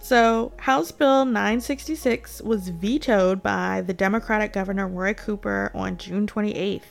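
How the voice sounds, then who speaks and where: A woman with an American accent talks at a very slow pace, with hardly any pauses. Music plays in the background. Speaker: podcast host. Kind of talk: news commentary monologue. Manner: animated, opinionated.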